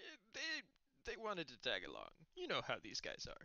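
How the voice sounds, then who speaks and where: A man puts on a character voice and keeps a moderate pace. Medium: actual play. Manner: genial, rambling.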